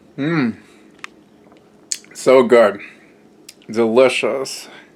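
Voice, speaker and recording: Noticeable background noise surrounds a man whose medium-pitched voice keeps a fairly even intonation. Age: 20s. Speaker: home cooking and health vlogger. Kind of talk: casual vlog with taste test. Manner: hesitant with many fillers; improvised, on the fly.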